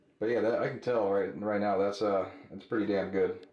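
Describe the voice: A man speaks with fairly low pitch at a fairly quick pace. His intonation is fairly even, with audible room echo.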